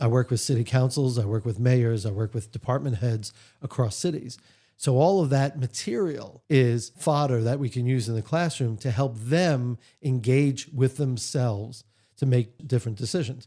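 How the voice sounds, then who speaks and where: Over a very clean recording with a silent background, a man with an American accent speaks at a moderate pace and a medium pitch. His voice is somewhat breathy and dark, mellow in tone, with ordinary pitch variation. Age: 60s. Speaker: author and leadership trainer. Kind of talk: interview. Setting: radio studio.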